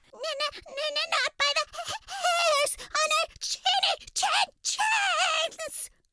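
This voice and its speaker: Using a put-on character voice, a woman speaks at an extremely high pitch and a very slow pace, with long, frequent pauses. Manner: exaggerated, silly.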